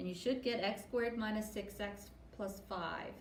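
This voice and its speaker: A woman's medium-pitched voice in monotone, flat intonation at a moderate pace, with audible room echo and noticeable background noise. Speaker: math teacher. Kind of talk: tutorial. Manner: halting.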